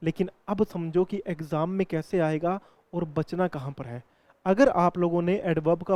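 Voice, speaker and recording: In a dry, close recording with no echo, a man speaks with fairly even intonation. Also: quiet background. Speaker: English grammar teacher. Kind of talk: lecture. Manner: explanatory, repetitive.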